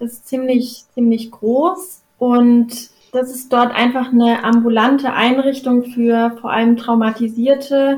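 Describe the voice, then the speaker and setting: At a fairly slow pace, a woman with a high pitch speaks in fairly even intonation. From Karlsruhe. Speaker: social work student. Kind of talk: interview.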